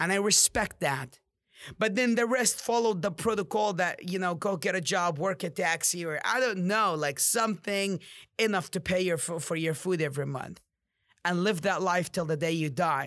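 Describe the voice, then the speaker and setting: Bright and sharp in tone, a man speaks at a high pitch with ordinary pitch variation. His pace is moderate, and the recording is very clean with a silent background. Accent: Arabic. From Jordan (Amman). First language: Arabic. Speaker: podcast host and real estate agent. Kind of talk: motivational monologue. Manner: animated.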